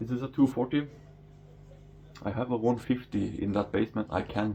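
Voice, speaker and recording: A man speaks at medium pitch with ordinary pitch variation. His voice is somewhat breathy, with a dark, mellow tone. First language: Norwegian. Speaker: fishkeeping vlogger. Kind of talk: casual vlog tour. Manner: halting, stumbling over words.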